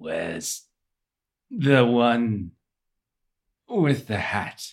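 A man uses a put-on character voice at a medium pitch. It sounds strained. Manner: painful, strained.

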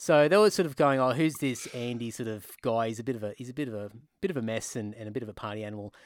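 With an Australian accent, a man speaks at a very fast pace and a medium pitch, his loudness swinging widely. His pitch varies in an ordinary way, and the recording is very clean with a silent background. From Queensland, Australia. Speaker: metal bassist and podcast host. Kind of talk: casual chat.

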